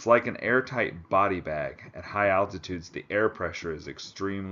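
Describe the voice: The text is delivered as plain reading aloud.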